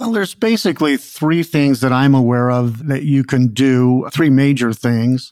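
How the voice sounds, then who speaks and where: In an unremarkable speaking voice, a man talks at a moderate pace with hardly any pauses, at a medium pitch with ordinary variation. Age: 60s. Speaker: naturopathic doctor and supplement maker. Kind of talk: interview answers.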